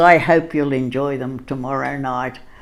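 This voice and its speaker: The speaker is a woman with an Australian accent. She keeps to a moderate pace. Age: 90s. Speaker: storyteller. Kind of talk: personal storytelling. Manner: halting, with many fillers.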